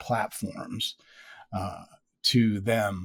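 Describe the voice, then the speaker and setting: A man speaks at a fairly low pitch with ordinary pitch variation and a somewhat breathy voice. The recording is very clean, with a silent background. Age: 50s. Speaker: sleep story podcaster. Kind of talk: casual chat.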